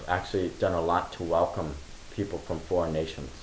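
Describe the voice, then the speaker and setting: A man at a fairly quick pace, with audible room echo and light background noise. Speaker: interviewer. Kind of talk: interview. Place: home room.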